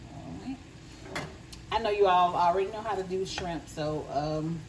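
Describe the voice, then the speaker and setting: In a Southern US accent, a woman talks at a moderate pace with a fairly low pitch, and audible room echo surrounds her. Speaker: home cook. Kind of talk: cooking tutorial. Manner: casual, conversational.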